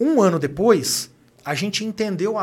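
A man talks with ordinary pitch variation. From Brazil, Minas Gerais (Uberaba). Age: 30s. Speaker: executive and author. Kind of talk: casual interview.

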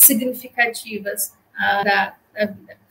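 A woman speaks very slowly in a fairly high, flat monotone. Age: 30s. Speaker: clinical psychologist. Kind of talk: interview.

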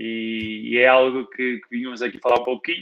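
A man with medium pitch and an unremarkable speaking voice. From northern Portugal, Guimarães. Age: 20s. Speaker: physical education graduate and fitness trainer. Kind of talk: casual interview on a live stream.

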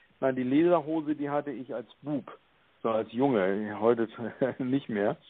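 At a fairly slow pace, a man speaks with medium pitch and ordinary pitch variation. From northern Germany, Hamburg. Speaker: EU civil servant. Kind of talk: interview. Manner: halting, many fillers.

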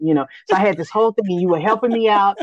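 A woman with an American accent, a normal speaking voice, medium pitch and ordinary pitch variation, dry and close with no echo, over a quiet background. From Austin, Texas. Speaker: podcast host. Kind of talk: interview.

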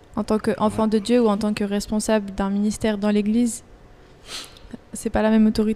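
This woman's voice sits fairly high, with a dark, mellow tone and a flat, monotone delivery. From Switzerland. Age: 20s. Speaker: university student. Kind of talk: casual chat.

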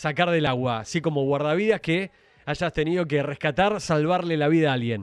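A man with an Argentine accent talks at a fairly high pitch with ordinary pitch variation against a quiet background. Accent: Rioplatense Argentine Spanish. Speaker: radio host. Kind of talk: radio interview.

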